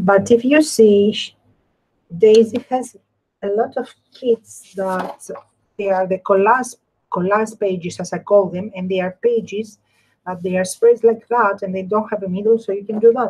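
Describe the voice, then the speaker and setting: Somewhat breathy speech at a moderate pace, with fairly even intonation and big swings in loudness. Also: woman, medium pitch for a woman. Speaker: crafter, live stream host. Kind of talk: craft tutorial with live chat. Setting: live stream.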